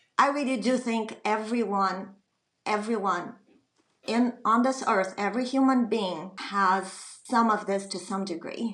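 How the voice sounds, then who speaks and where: A woman speaks with a plain, everyday voice at a fairly high pitch. Her pace is fairly slow and her intonation fairly even. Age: 50s. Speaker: recovered patient. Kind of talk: interview.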